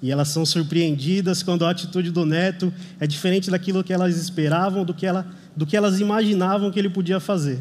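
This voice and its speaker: Speaking at a very fast pace, a man has a high pitch and fairly even intonation. His loudness stays very even, and the room echo is audible. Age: 30s. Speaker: lay preacher. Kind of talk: sermon. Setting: church service.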